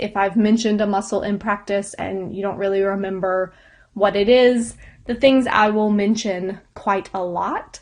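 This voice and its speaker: A woman's fairly high pitch comes in a plain, everyday voice that moves at a moderate pace. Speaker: yoga instructor. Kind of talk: lecture.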